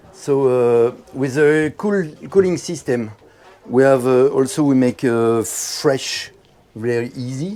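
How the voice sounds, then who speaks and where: A man talks very slowly while clear background noise is heard. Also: medium pitch for a man, ordinary pitch variation. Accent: French. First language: French. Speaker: boat builder showing his sailboat. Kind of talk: boat tour explanation. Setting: boat show, aboard a boat. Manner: halting, many fillers.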